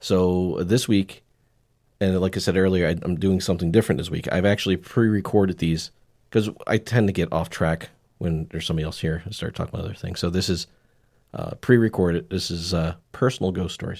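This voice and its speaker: A fairly quick delivery from a man, very deep and low in pitch. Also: ordinary pitch variation. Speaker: podcast host. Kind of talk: casual chat.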